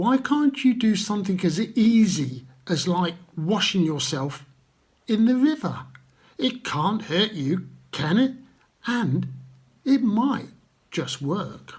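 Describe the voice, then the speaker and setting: A man puts on a high-pitched character voice with very wide pitch swings. He mumbles at a fairly slow pace with long, frequent pauses. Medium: read story. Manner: mumbling, deferential.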